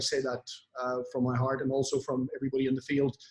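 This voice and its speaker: A man speaks in a medium pitch. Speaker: network marketing influencer. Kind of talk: motivational talk on online event. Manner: hesitant with fillers.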